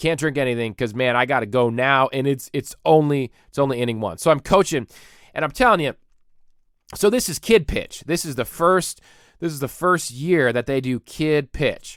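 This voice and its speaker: In a very clean recording with a silent background, a man speaks at a fairly high pitch and a moderate pace. His tone is animated, with ordinary pitch variation, and the sound is dry and close with no echo. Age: 30s. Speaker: podcast host. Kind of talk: comedic rant. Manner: loud.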